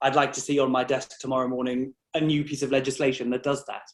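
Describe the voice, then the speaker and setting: A man speaks with a slight North East England accent. His pitch is fairly high and his pace moderate. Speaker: employment law barrister. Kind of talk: interview.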